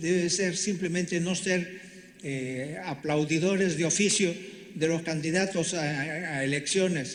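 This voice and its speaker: Fairly slow, fairly even speech with noticeable background noise and audible room echo. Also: man. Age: 80s+. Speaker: constitutional lawyer and author. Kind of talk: public speech. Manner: halting, with repetitions and restarts; impassioned.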